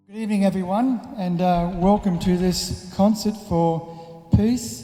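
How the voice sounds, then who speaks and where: Very slow delivery with ordinary pitch variation. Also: man. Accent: Australian. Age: 70s. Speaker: political candidate and filmmaker. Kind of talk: documentary interview; speech to audience.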